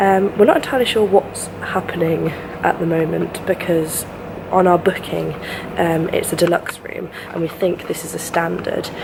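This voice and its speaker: Over noticeable background noise, a woman speaks quietly at a moderate pace. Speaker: travel vlogger. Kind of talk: travel vlog.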